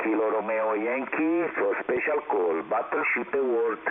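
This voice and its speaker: A man speaks in an Italian accent at a fairly slow pace. Background noise is noticeable. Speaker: amateur radio operator. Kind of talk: ham radio contacts. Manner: halting.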